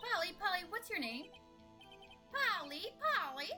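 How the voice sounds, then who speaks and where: A put-on character voice, extremely high in pitch, moves at a moderate pace with very wide pitch swings. Music plays clearly in the background. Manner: repetitive squawking.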